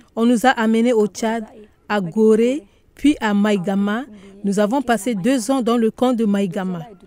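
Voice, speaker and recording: Very slow speech with ordinary pitch variation, a dry, close sound with no echo, and noticeable background noise. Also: woman. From Central African Republic. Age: 40s. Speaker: displaced refugee returnee, women's group organizer. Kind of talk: testimony.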